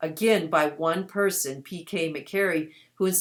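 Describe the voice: Plain reading aloud, nothing more.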